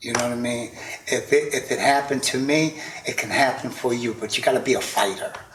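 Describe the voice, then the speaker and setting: Noticeable background noise sits behind a man speaking at a moderate pace, with a medium pitch and fairly even intonation. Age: 60s. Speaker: podcaster, interview guest. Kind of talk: casual interview.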